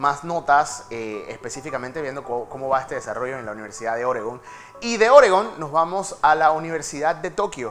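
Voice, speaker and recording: Faint music plays in the background. Over it, a man talks at a fairly quick pace. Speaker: TV presenter. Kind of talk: news segment commentary. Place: studio.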